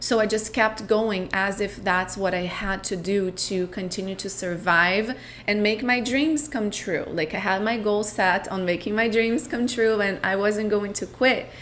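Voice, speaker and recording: Speaking with a Portuguese accent at medium pitch, a woman talks at a fairly slow pace with hardly any pauses and ordinary pitch variation, and audible room echo is present. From Brazil. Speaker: podcast host, spiritual coach. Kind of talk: personal storytelling monologue. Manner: reflective, with hesitations.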